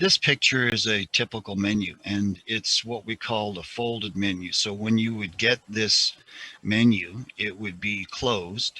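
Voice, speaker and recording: Heard in a dry, close sound with no echo, a man with a fairly low pitch uses a normal speaking voice, speaking at a fairly slow pace with fairly even intonation. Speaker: hospitality instructor. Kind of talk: lecture.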